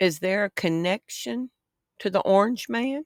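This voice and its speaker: In a Southern US accent with lively intonation, the speaker goes at a very slow pace on a very clean recording with a silent background and a dry, close sound with no echo. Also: woman. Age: 60s. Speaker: online news commentator. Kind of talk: vlog commentary. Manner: rambling, conversational.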